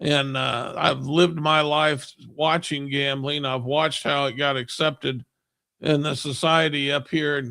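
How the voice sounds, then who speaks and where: A man's fairly high, bright, sharp voice with monotone, flat intonation at a moderate pace. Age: 60s. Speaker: church member panelist. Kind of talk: religious discussion program. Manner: halting.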